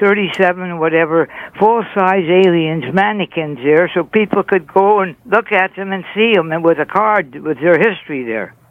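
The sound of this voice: Pitch variation is ordinary. The pace is moderate. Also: man.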